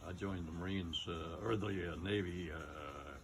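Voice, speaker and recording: A man speaks with a very deep, low pitch and fairly even intonation. His voice is somewhat breathy, and the room echo is audible. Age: 90s. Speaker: war veteran. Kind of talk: interview. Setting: outdoors. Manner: halting.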